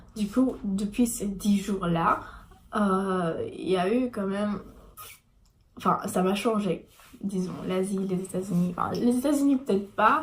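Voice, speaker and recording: Speaking at a very slow pace, a woman uses a medium pitch with ordinary pitch variation and a somewhat breathy sound. She leaves long, frequent pauses. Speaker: vlogger. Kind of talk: casual vlog talk. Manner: halting.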